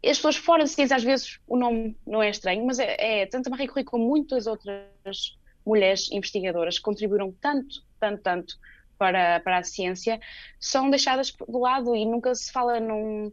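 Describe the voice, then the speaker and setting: A plain, everyday voice at a moderate pace with ordinary pitch variation. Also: woman, fairly high pitch for a woman. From Portugal. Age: 20s. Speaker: PhD researcher in oncology. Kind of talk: radio interview.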